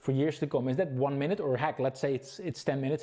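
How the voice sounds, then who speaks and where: This man's voice sits fairly high in pitch, with a Dutch accent. His tone is dark and mellow. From Netherlands. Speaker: webinar presenter. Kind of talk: sales pitch. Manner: fast; halting.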